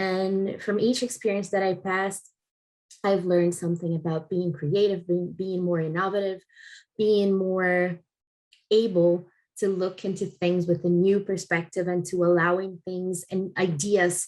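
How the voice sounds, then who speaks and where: Against a quiet background, a woman with a Portuguese accent speaks at a fairly slow pace and medium pitch with a monotone, flat intonation. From Brazil. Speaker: head of customer experience. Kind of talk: recorded conference talk. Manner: halting, many fillers.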